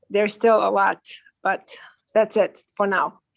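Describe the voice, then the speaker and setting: Against a quiet background and in a dry, close sound with no echo, a woman speaks at a fairly slow pace with a fairly high pitch. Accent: Bosnian. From Bosnia. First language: Bosnian. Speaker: baker and cafe owner, former teacher. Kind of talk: self-introduction on a livestream panel.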